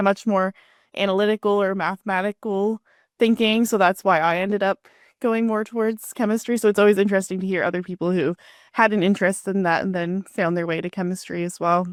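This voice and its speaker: Delivered at a very fast pace in a Canadian accent, the speech keeps fairly even intonation. The recording is very clean, with a silent background and a dry, close sound with no echo. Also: woman, medium pitch for a woman. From Canada. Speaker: podcast host. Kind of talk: podcast interview.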